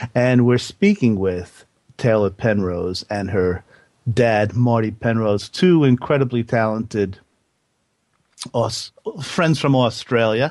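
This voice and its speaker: Pausing long and often, a man talks very slowly at a medium pitch with ordinary pitch variation. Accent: New Jersey. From New Jersey. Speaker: radio host. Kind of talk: radio interview.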